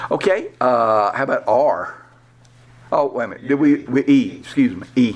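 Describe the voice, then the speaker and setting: This man speaks at a moderate pace, with big swings in loudness. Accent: Southern US. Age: 60s. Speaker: pastor. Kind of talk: workshop lecture. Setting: live session with small audience. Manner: conversational.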